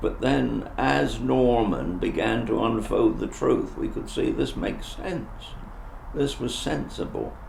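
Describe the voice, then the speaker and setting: With a West Country accent, a man speaks at a fairly slow pace amid noticeable background noise and audible room echo. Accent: Dorset. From southern England, Dorset. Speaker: retired travelling minister. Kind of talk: interview testimony. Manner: halting.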